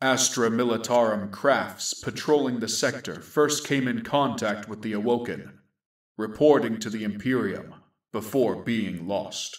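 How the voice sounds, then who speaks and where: A man puts on a character voice, pitched medium and delivered at a moderate pace. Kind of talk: grim sci-fi war narration. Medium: audio drama. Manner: measured, solemn.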